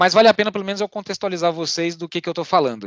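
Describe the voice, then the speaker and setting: The recording sounds dry and close, without any echo. The speaker is a man. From Brazil, Goiânia (Goiás). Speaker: RPA and AI specialist, meetup speaker. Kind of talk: technical presentation. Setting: online meetup. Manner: fast.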